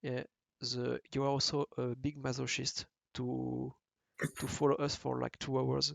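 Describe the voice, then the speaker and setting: Speaking with a French accent, a man goes at a fairly slow pace with long, frequent pauses, in a dry, close sound with no echo. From France. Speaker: podcast host. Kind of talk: casual chat. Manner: halting.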